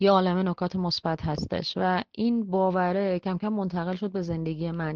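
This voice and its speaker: A woman talks at a fairly quick pace in a fairly low pitch. Her intonation is flat and monotone. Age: 30s. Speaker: travel influencer and tour leader. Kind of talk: interview.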